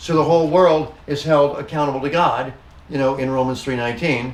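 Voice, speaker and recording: Noticeable background noise and audible room echo fill the recording. A man with a fairly high pitch speaks at a fairly quick pace with fairly even intonation. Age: 60s. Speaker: pastor. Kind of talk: bible study discussion. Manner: halting.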